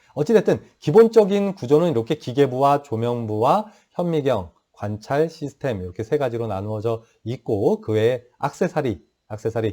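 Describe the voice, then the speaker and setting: Lively intonation and a dark, mellow tone mark a man's medium-pitched voice in a very clean recording with a silent background. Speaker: professor. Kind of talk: lecture. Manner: fast.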